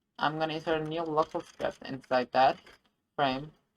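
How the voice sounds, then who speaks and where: A woman with a very deep, low pitch speaks with a non-native accent, the sound dry and close with no echo. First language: not English. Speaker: game dev tutorial youtuber. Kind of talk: screen-recorded tutorial. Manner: halting, many fillers and self-corrections.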